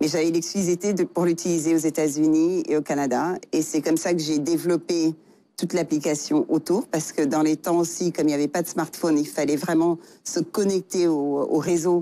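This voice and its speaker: In an African accent, a woman talks at a moderate pace with a fairly low pitch, a dark, mellow tone, fairly even intonation and very even loudness, on a very clean recording with a silent background. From Senegal. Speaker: tech entrepreneur. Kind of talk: interview. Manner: halting, many fillers.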